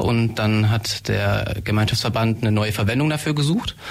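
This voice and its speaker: Over noticeable background noise, a man with a fairly low pitch speaks at a moderate pace. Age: 20s. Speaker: medical student, shared-house resident. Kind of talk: radio interview. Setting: radio studio.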